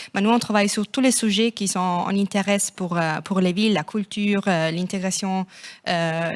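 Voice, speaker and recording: A woman with a non-native accent speaks at a medium pitch in fairly even intonation, on a very clean recording with a silent background and a dry, close sound with no echo. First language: not French (speaking French). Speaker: city network representative. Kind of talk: panel discussion. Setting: stage with audience. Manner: hesitant.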